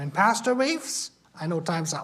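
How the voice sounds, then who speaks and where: With a German accent, a man speaks in a high voice. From Germany. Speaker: missionary. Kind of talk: Sunday school lesson.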